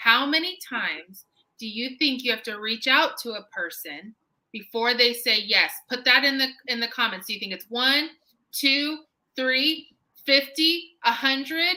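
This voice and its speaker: A woman projects a raised voice with a bright, sharp tone and high pitch. She talks at a fairly slow pace with lively intonation. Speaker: home staging business coach. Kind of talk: live-streamed business talk. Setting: live stream. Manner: deliberately slow.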